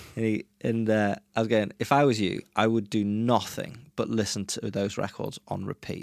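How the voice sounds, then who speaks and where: Here a man talks at a moderate pace with a fairly low pitch. The sound is dry and close with no echo, in a very clean recording over a silent background. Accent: English. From England. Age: 30s. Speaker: musician. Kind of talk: casual chat.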